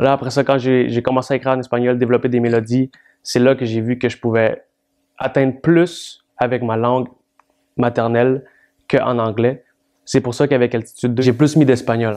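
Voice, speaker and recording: In a Spanish accent, a man talks at medium pitch and a moderate pace, with long, frequent pauses. His intonation stays monotone and flat. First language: Spanish (speaking French). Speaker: rap artist. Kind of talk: interview.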